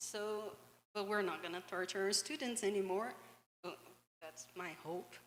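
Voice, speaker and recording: A woman with a Brazilian accent speaks at a moderate pace in a medium pitch. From Brazil, Minas Gerais. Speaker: English teacher. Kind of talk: panel discussion.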